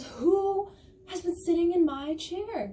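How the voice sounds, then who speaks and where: A put-on character voice, squeaky and extremely high in pitch. It moves at a fairly slow pace. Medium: read story.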